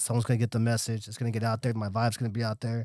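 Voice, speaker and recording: A man mumbles with an American accent. The sound is dry and close with no echo, on a very clean recording with a silent background. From Los Angeles area, Salvadoran family. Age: 40s. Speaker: community activist. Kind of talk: casual interview chat. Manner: fast; mumbling.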